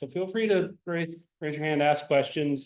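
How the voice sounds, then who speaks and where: Here a man talks at a fairly high pitch. He keeps a fairly quick pace. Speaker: industry engineer giving guest lecture. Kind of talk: guest lecture. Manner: loud; informal, animated.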